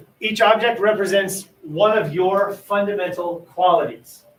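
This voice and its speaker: The man speaks at a high pitch with fairly even intonation. He leaves hardly any pauses. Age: 50s. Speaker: high school English teacher. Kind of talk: classroom lesson; guided meditation. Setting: classroom with students, livestreamed. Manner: fast.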